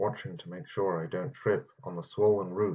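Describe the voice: The text is read plainly aloud, and the intonation stays fairly even.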